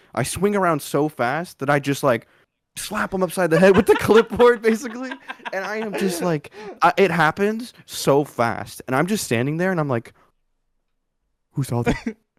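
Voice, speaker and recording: Loud and high-pitched, a man speaks at a moderate pace with very wide pitch swings in a dry, close sound with no echo. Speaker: podcast co-host; school gym teacher. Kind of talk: casual chat.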